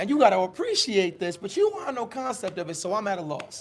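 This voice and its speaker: The speaker is loud and animated, talking at a very fast pace with lively intonation. Noticeable background noise can be heard. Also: man. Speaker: podcast host. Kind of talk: casual chat.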